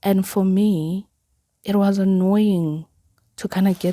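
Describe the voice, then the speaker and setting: A woman speaks with a Zulu accent. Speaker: podcaster. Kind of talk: personal podcast monologue. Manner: casual, filler-heavy.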